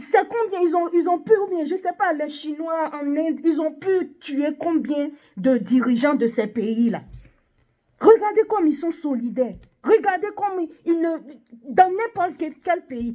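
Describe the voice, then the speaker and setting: A woman with an extremely high pitch and a dark, mellow tone. Her intonation is lively. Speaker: video blogger. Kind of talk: opinion monologue. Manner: halting.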